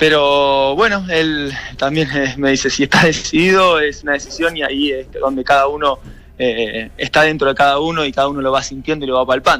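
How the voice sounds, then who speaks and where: In an ordinary speaking voice, a man talks at a fairly quick pace, fairly high in pitch, with fairly even intonation. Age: 30s. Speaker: professional footballer. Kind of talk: radio interview.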